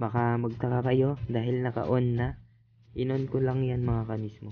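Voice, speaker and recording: The speaker is soft-spoken with fairly even intonation. Delivery comes at a moderate pace. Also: man. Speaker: ship electrician vlogger. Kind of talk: tutorial. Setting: ship cabin onboard. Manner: soft-spoken, quiet.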